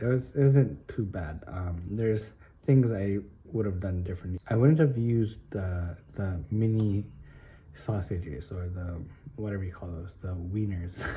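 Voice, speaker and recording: A man whispers at a moderate pace, somewhat breathy, with big swings in loudness. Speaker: spearfishing vlogger. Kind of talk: casual vlog talk. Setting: at home. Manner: whispering.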